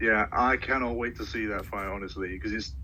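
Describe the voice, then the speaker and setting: A man with a British accent talks at a fairly low pitch. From Britain. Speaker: sports social media creator. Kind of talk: casual chat.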